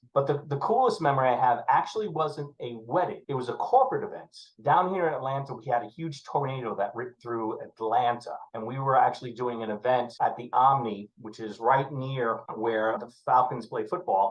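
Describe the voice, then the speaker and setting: A man with a New York accent speaks at a moderate pace and medium pitch, his pitch varying in an ordinary way. His loudness swings widely. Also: hardly any pauses. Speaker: wedding DJ and MC manager. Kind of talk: casual chat. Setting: podcast.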